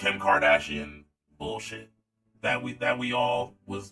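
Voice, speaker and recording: A man is shouting. His tone is animated. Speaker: youtube commentator. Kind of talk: casual commentary vlog. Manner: animated, yelling.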